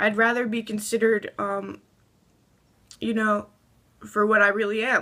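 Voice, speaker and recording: A woman's fairly high, bright, sharp voice, shaky and flat in a monotone, broken by long, frequent pauses. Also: moderate pace. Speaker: transgender vlogger. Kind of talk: casual talk to camera. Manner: shaky, anxious.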